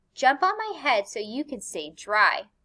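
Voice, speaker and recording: A woman speaks in a put-on character voice. Her pitch swings very widely. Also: high pitch for a woman, moderate pace. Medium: read story. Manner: smooth, coaxing.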